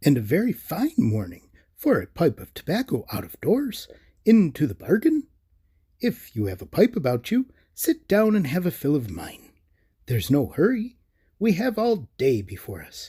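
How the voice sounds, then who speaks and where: A man puts on a character voice, pitched high with very wide swings. He speaks at a moderate pace on a very clean recording with a silent background. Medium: read story. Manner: genteel, fussy.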